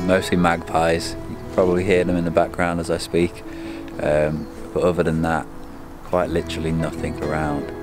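Clear music in the background behind a man with a very deep, low pitch at a fairly quick pace. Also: dry sound with no echo. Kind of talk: casual vlog chat. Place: forest. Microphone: phone near.

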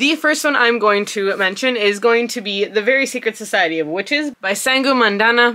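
In a quiet setting, a woman talks with ordinary pitch variation. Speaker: book vlogger. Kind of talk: casual vlog chat. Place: home room.

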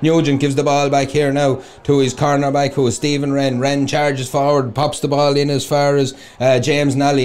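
An animated man with an Irish accent talks fairly quickly at a fairly high pitch. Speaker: sports commentator. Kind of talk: live sports commentary, play-by-play. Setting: outdoors at the ground. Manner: fast, fluent, animated.

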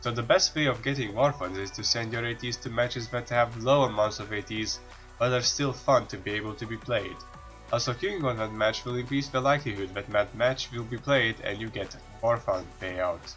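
With music in the background, a man speaks at a moderate pace and medium pitch, showing ordinary pitch variation. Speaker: game guide narrator. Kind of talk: game tutorial voice-over.

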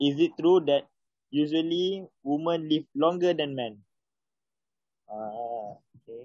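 A man with a Malaysian accent and a fairly high pitch speaks at a fairly slow pace with ordinary pitch variation, long, frequent pauses and big swings in loudness, in a dry, echo-free sound against a quiet background. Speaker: English learner. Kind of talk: reading aloud. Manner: halting. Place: home room. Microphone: phone near.

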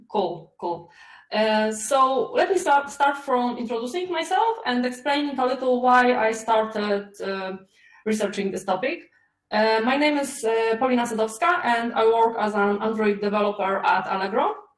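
Music sits in the background, along with audible room echo. A woman speaks at a moderate pace. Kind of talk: conference talk. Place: home room. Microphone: webcam.

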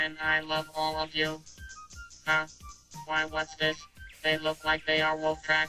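Faint music plays in the background as someone delivers a cartoonish character voice at a middle pitch and a fairly slow pace. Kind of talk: 1980s cartoon dub. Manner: timid, earnest.

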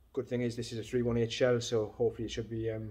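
At a very fast pace, a man talks in a somewhat breathy voice. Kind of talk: casual vlog chat. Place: workshop. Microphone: phone near.

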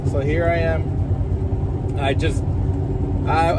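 Loud background noise accompanies a man whose voice sounds dry, with no echo. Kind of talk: casual vlog chat. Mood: relaxed, upbeat. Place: car. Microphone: phone near.

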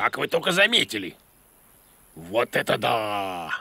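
In a cartoonish character voice, a man speaks at a fairly slow pace and medium pitch, with big pitch swings, a bright, sharp tone and a slightly husky edge.

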